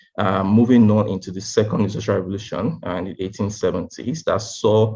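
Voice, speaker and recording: Fairly low in pitch and somewhat breathy, the man speaks with fairly even intonation. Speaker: tech speaker. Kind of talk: lecture. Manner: fast.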